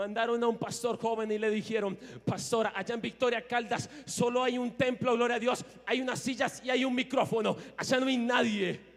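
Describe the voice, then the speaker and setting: A man's extremely high-pitched voice at a moderate pace. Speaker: lay preacher. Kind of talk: sermon. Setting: church. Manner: fervent, repetitive exclamations.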